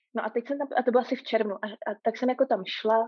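Her pace is moderate. The voice belongs to a woman. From Prague, Czechia. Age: 30s. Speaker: long-distance hiker. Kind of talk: casual interview. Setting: remote call.

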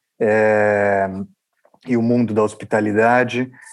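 This man's fairly low voice stays monotone and flat. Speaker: restaurant entrepreneur. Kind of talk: interview.

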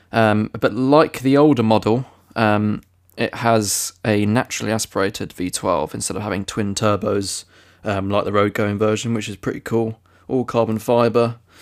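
On a very clean recording with a silent background, a man with an unremarkable speaking voice and a fairly low pitch talks at a moderate pace with fairly even intonation. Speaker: podcast co-host. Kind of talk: casual chat.

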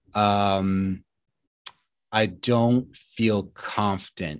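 Dry, close sound with no echo carries a man's voice. He speaks at a fairly low pitch with monotone, flat intonation. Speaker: health and nutrition coach. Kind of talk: solo podcast monologue. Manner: casual, unpolished.

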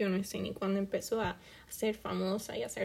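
In a Puerto Rican accent, a woman speaks at a medium pitch and a moderate pace. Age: 20s. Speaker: podcast host and student. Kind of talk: self-interview monologue.

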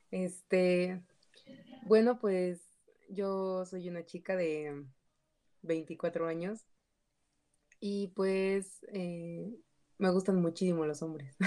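A woman speaks very slowly at a medium pitch, with fairly even intonation and long, frequent pauses. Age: 20s. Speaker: psychology graduate, guest. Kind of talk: casual group discussion. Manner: halting.

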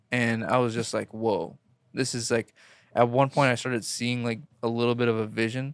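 On a very clean recording with a silent background, a man with an American accent talks at medium pitch and a moderate pace in a monotone, flat intonation. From Queens, New York. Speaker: comedian guest. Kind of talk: casual chat. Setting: studio.

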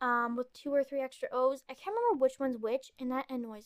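A woman speaks with a high pitch and a bright, sharp tone. The sound is dry and close, with no echo. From Canada, Ontario. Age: 20s. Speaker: podcast host, college student. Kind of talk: casual chat. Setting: home, in bed. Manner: sometimes breathless.

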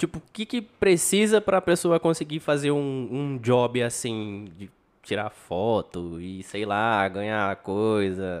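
The speech moves at a very slow pace with hardly any pauses. Its pitch makes very wide swings. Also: man, medium pitch for a man. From São José do Rio Preto, Brazil. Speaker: podcast host. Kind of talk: casual chat.

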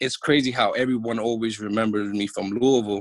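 With a New York accent, a man talks at a moderate pace and medium pitch in a dry, close sound with no echo. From New York City, Washington Heights area. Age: 30s. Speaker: former professional basketball player. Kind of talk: casual interview chat.

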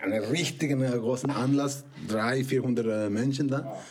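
With audible room echo and noticeable background noise, a man in a Spanish accent speaks with ordinary pitch variation. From Mexico. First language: Spanish (speaking German). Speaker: film producer and director. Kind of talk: casual chat. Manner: halting.

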